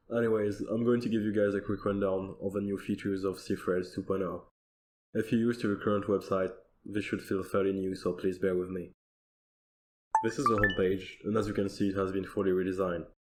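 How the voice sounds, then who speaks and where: A man with a non-native accent talks at a fairly quick pace. His intonation stays monotone and flat. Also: fairly low pitch for a man. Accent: non-native accent, noticeable. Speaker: software developer. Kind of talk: recorded conference demo.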